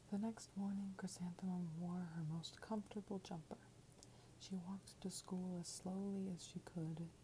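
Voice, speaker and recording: At a moderate pace, the speaker talks in a soft-spoken way. The tone is gentle. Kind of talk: ASMR children's book reading. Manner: soft-spoken, gentle.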